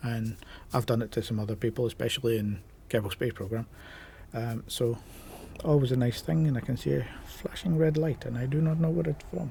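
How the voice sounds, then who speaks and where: Somewhat breathy and dark, mellow in tone, a man speaks at a fairly quick pace with lively intonation. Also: medium pitch for a man. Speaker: gaming YouTuber. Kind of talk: casual vlog talk to camera. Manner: casual, with many filler ums.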